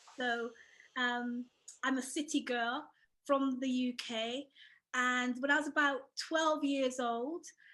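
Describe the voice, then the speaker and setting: Projecting a raised voice, a woman with an English accent speaks at a very slow pace and high pitch, with a bright, sharp tone, monotone, flat intonation and long, frequent pauses. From England, Bristol. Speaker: author and former midwife. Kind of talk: interview.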